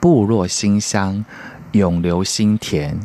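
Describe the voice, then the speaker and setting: A man's fairly low voice at a very slow pace, over noticeable background noise. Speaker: radio co-host. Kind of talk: radio show chat.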